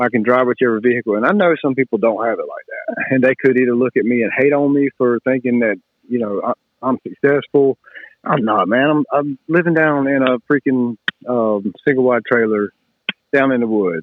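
At a fairly quick pace, a man with a Southern US accent speaks at medium pitch with ordinary pitch variation. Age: 30s. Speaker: moped rider. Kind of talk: casual chat.

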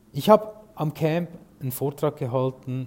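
Speaking in an unremarkable speaking voice, a man keeps a moderate pace. His intonation is lively. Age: 40s. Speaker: podcast host and sales consultant. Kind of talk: solo podcast monologue.

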